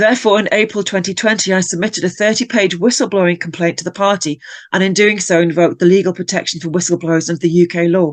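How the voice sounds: At a fast pace, a woman talks with fairly even intonation at a fairly low pitch.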